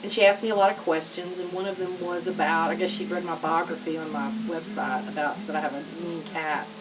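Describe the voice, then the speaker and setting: In a strong West Texas accent, a woman talks at a fairly quick pace with medium pitch and fairly even intonation. Audible room echo and noticeable background noise are present. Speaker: author. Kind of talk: vlog talk to camera. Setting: home office.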